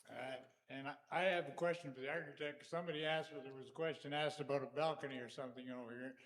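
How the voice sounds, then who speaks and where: Over audible room echo, a man with a fairly high pitch speaks at a very fast pace, his intonation fairly even but his loudness swinging widely. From Netherlands. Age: 80s+. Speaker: church member. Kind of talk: question at congregational meeting.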